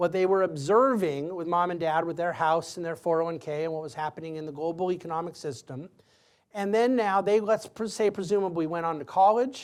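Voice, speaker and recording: Fairly quick speech with ordinary pitch variation, in a very clean recording with a silent background. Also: man, high pitch for a man. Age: 40s. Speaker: lecturer answering student questions. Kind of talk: audience Q&A.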